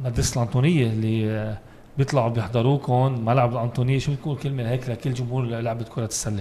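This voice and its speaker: Over light background noise, a man with a medium pitch and a dark, mellow, somewhat breathy tone talks at a fairly quick pace with fairly even intonation and hardly any pauses. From Lebanon. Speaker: sports podcast host; podcast host. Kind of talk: casual interview. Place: studio. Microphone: studio mic.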